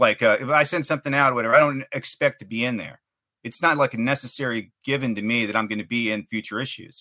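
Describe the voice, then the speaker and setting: Very fast and bright, sharp in tone, a man with an American accent speaks at a medium pitch with ordinary pitch variation, dry and close with no echo on a very clean recording with a silent background. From South Texas, McAllen. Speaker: writer. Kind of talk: interview.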